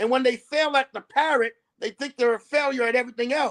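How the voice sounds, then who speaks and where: In a dry, close recording with no echo, a man with an American accent speaks in an animated tone at an extremely high pitch. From New Bedford, Massachusetts. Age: 60s. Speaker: local sports coach, show guest. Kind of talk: casual interview chat. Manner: animated, repetitive with many fillers.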